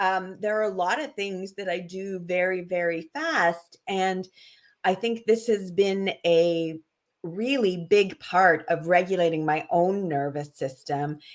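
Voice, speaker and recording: A woman talks at a medium pitch and a fairly slow pace, her pitch varying in an ordinary way. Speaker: wellness practitioner. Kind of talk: casual interview chat.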